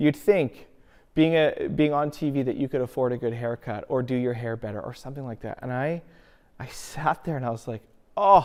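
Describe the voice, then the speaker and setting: A man talks loudly at a moderate pace in a medium pitch, with ordinary pitch variation and an animated tone. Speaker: pastor. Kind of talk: sermon.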